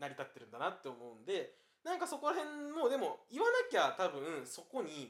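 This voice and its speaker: Spoken in a Kansai accent at a fairly quick pace, the voice shows big swings in loudness. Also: man. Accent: Kansai Japanese. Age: 20s. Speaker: podcast co-host, university student. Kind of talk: casual chat. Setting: co-host's home.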